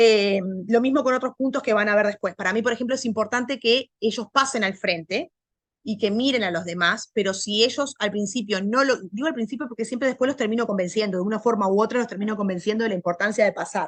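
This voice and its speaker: The speaker has a Uruguayan accent and talks at a very fast pace with ordinary pitch variation. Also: woman, fairly high pitch for a woman. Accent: Rioplatense Spanish (Uruguayan). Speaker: language teacher. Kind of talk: lecture. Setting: video call. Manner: loud.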